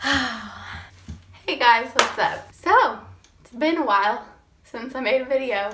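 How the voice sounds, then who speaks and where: Very slow speech with ordinary pitch variation and big swings in loudness, over noticeable background noise. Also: woman, high pitch for a woman. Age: 20s. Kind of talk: casual storytime talk to camera.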